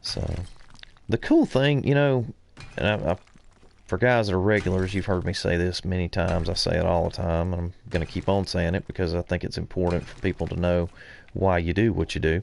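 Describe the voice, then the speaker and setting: Speaking at a fairly quick pace, a man with a Southern US accent uses a very deep, low pitch. His pitch varies in an ordinary way. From US South, central Alabama. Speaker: gaming streamer. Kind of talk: live game stream commentary. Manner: casual, hesitant with many fillers.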